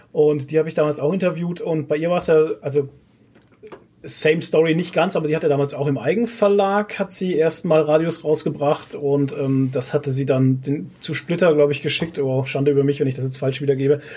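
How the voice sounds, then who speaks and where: A man's fairly high, somewhat breathy voice with a dark, mellow tone, ordinary pitch variation and a fairly quick pace. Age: 30s. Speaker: podcast host. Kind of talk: casual chat.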